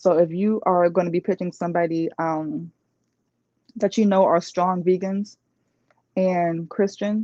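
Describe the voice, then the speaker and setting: At a fairly slow pace, with long, frequent pauses, a woman speaks at a medium pitch. Her tone is dark and mellow, and the sound is dry and close with no echo. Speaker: life coach. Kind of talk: live online talk. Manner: animated.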